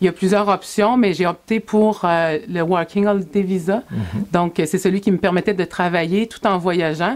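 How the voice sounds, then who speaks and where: A woman's normal speaking voice at a medium pitch, fairly slow, with fairly even intonation. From Quebec, Sorel-Tracy. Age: 40s. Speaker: motorcycle adventurer and speaker. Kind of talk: interview.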